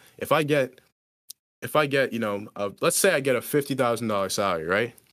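A man with an ordinary speaking voice and medium pitch talks at a fairly quick pace with lively intonation, captured on a very clean recording with a silent background. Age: 20s. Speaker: engineering student and photographer. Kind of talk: casual chat.

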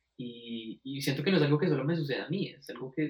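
Fairly quick, somewhat breathy delivery from a man, fairly high in pitch with ordinary pitch variation. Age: 20s. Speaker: music student. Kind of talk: casual conversation. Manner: halting, many repetitions.

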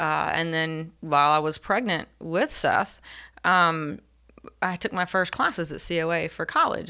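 Recorded very cleanly against a silent background, a woman speaks in a bright, sharp tone, her pitch fairly low with fairly even intonation. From North Carolina (Elizabeth City). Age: 40s. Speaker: therapist. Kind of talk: interview.

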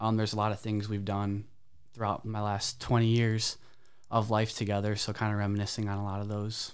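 A man's fairly low-pitched voice at a fairly quick pace, in monotone, flat intonation. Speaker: college student athlete. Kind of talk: interview.

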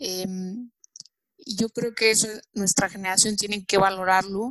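Recorded in a dry, close sound with no echo, a woman speaks at a fairly slow pace. Her intonation is monotone and flat. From Mexico. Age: 20s. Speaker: young entrepreneur, business association president. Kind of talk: interview.

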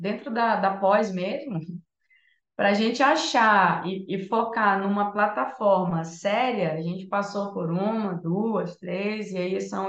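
A woman at a fairly slow pace, with ordinary pitch variation and audible room echo. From northern Brazil, Santarém, Pará. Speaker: music therapist and entrepreneur. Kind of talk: casual chat.

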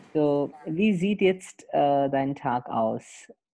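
Very deep and low in pitch, a woman speaks at a very slow pace with a dark, mellow tone and lively intonation. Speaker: podcast host, German teacher. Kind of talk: interview.

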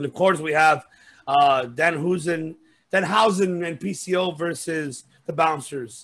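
Very slow speech from a man at a fairly high pitch. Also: ordinary pitch variation. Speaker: wrestling podcast host. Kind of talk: casual chat. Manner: animated.

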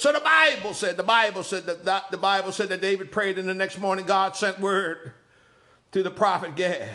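A man's raised, projected voice, high in pitch and animated in tone, at a moderate pace with ordinary pitch variation. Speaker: preacher. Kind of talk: sermon. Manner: animated, call-and-response cadence with repeated phrases; emphatic, rhetorical questions and exclamations.

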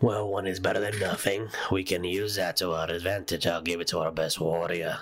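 A man puts on a character voice with very deep, low pitch. He talks at a fairly quick pace. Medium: actual play. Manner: gruff, practical.

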